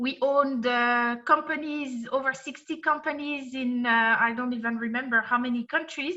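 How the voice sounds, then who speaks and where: A woman's raised, projected voice in a French accent, high in pitch, at a moderate pace with fairly even intonation, over a quiet background. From France. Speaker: compensation and benefits consultant. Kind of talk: presentation. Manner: hesitant, many fillers.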